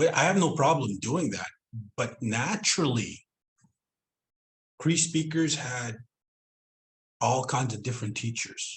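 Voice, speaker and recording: A man speaks at a fairly slow pace, somewhat breathy. He leaves long, frequent pauses. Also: medium pitch for a man, lively intonation. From Southend, Reindeer Lake, northern Manitoba/Saskatchewan Cree community. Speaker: Cree language teacher and educator. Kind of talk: online presentation / interview talk.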